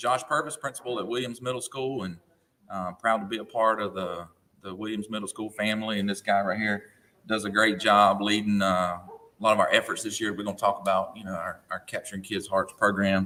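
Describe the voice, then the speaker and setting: In a Southern US accent, a man with a fairly low pitch and a bright, sharp tone talks at a fairly quick pace with fairly even intonation. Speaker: school principal. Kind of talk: radio interview.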